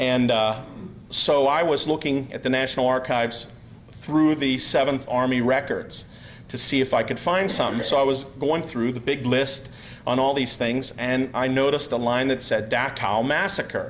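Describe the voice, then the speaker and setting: With an American accent, a man of medium pitch speaks at a moderate pace with fairly even intonation, and room echo is audible. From US, Pennsylvania. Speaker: researcher, speaker. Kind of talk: conference talk. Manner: halting, many fillers.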